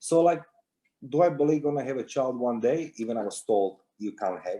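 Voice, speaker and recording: With a Croatian accent, a man speaks at a fairly quick pace in a dark, mellow tone. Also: medium pitch for a man, ordinary pitch variation. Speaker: security intelligence consultant, war veteran. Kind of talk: interview.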